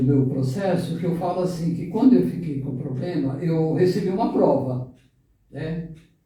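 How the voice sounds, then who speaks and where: A man speaks at a fairly slow pace in a high pitch with ordinary pitch variation. Audible room echo surrounds the voice. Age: 60s. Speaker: web radio co-host. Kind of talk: radio talk show conversation.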